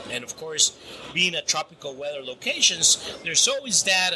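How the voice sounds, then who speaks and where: A man's fairly high voice moves at a moderate pace while noticeable background noise continues underneath. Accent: Spanish. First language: Spanish. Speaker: grain storage specialist. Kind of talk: interview. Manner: halting, many repetitions.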